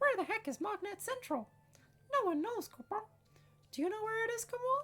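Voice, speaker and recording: This is a put-on character voice that sounds squeaky. It moves through very wide pitch swings. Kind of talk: cute creature voice. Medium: solo performance. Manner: tags sentences with "kupo".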